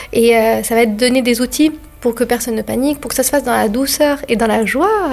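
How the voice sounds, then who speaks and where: Words pour out at a very fast pace while background noise stays clearly audible. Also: woman. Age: 40s. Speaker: doula. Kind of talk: interview. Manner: calm.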